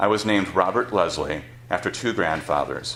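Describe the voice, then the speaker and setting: A man's voice carries audible room echo. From Wisconsin, Beloit. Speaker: author. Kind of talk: reading aloud. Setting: stage with audience.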